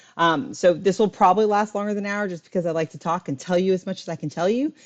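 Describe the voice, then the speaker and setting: Speaking very fast at a medium pitch, a woman shows ordinary pitch variation and big swings in loudness. The sound is dry and close with no echo, over a quiet background. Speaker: high school biology teacher. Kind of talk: live exam review lecture. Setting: live stream.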